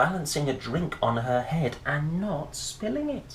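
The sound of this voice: A man talks at a slow pace with a medium pitch and big swings in his intonation. The room echo is audible.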